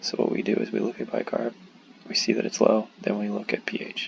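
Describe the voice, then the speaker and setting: The voice is quiet and moves at a moderate pace. Noticeable background noise can be heard. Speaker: medical student. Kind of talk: tutorial. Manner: hushed, keeping voice down; halting, many fillers.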